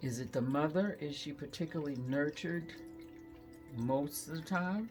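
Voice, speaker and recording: The speaker keeps a moderate pace while music plays in the background. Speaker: tarot card reader. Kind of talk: oracle card reading.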